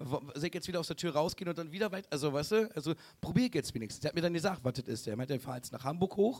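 With lively intonation, a man races along at a very fast pace in a fairly high voice. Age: 30s. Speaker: comedian. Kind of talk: show closing announcement; live show chat. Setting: stage with audience.

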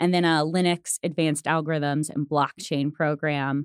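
A woman with a Midwestern American accent speaks at a moderate pace with ordinary pitch variation, in a dry, close sound with no echo on a very clean recording with a silent background. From Missouri, Springfield. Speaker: career services director at a coding school. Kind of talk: casual interview.

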